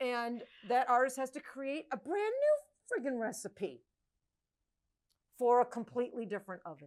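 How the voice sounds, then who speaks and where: With lively intonation and long, frequent pauses, a high-pitched woman speaks at a moderate pace. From Maine. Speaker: podcast host and PMU mentor. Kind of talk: casual interview chat.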